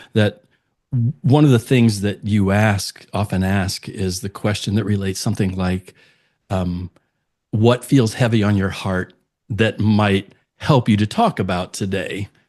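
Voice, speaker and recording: Fairly low in pitch, a man with an ordinary speaking voice talks at a fairly slow pace with fairly even intonation against a quiet background. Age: 60s. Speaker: podcast guest, speaker. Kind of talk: personal testimony in interview.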